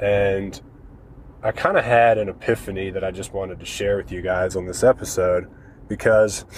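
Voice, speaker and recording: Somewhat breathy and fairly low in pitch, the man speaks with monotone, flat intonation. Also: moderate pace. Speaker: real estate investor podcast host. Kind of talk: podcast monologue. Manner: casual, conversational with fillers.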